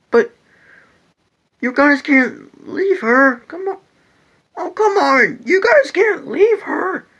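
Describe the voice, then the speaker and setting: In a cartoonish character voice at an extremely high pitch, the speaker goes at a very slow pace with long, frequent pauses. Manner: eager, exclamatory.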